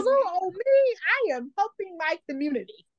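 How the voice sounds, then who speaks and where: A woman does a put-on character voice at an extremely high pitch. She moves at a moderate pace with very wide pitch swings. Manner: mock-innocent, sugary.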